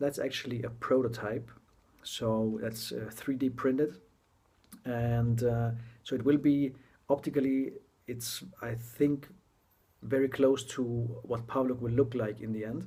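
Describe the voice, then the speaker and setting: Fairly slow, somewhat breathy speech with a non-native accent, monotone, flat intonation and long, frequent pauses. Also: man, medium pitch for a man. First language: not English. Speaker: tech blogger reviewing a gadget. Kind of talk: casual product introduction video. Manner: halting, many fillers and restarts.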